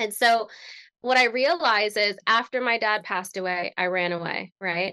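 Over a quiet background, a bright, sharp voice with an American accent moves at a moderate pace with ordinary pitch variation, the sound dry and close with no echo. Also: woman. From Connecticut, US. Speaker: transformational strategist and speaker. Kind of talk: interview conversation.

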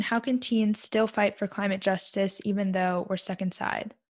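This woman talks at a moderate pace in a medium pitch, her voice somewhat breathy. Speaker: podcast host. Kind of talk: interview, casual conversation.

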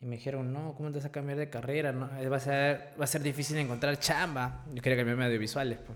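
A man at a fairly high pitch, very fast and in a monotone, flat intonation, over noticeable background noise. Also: hardly any pauses. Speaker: YouTuber. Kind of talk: casual chat.

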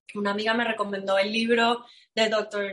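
A woman talks at a fairly slow pace. Her voice sits fairly high in pitch. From Venezuela. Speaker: astrologer. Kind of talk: interview. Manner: animated.

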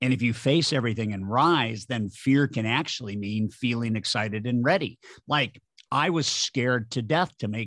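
Spoken at a moderate pace in a plain, everyday voice, with ordinary pitch variation on a very clean recording against a silent background. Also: man. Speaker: sales trainer and author. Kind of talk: interview conversation.

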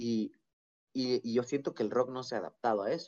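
A man talks in an ordinary speaking voice at a moderate pace with ordinary pitch variation. The sound is dry and close, with no echo. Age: 20s. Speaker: musician and podcaster. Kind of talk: casual chat. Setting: video call.

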